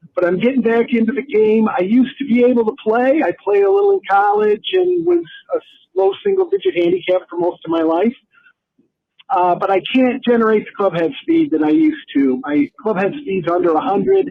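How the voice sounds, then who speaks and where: This voice moves at a fairly quick pace with very wide pitch swings. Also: man, high pitch for a man. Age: 50s. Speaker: listener leaving a voicemail. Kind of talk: voicemail question.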